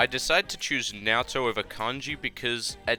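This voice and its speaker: A man at a moderate pace with music in the background. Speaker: gaming YouTuber. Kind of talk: game commentary voiceover.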